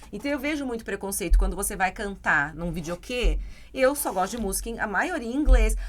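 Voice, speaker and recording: Moving at a fairly quick pace, a woman speaks at a fairly high pitch with very wide pitch swings and big swings in loudness. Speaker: English teacher. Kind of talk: casual chat.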